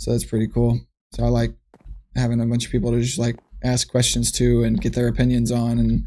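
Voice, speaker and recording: A man talks at a fairly quick pace. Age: 20s. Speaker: streamer. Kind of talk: casual chat. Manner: casual with many fillers.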